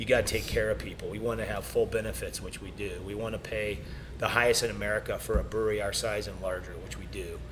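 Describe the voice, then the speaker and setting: Very fast speech from a man, big swings in loudness, audible room echo and noticeable background noise. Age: 50s. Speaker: brewery owner. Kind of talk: casual interview conversation.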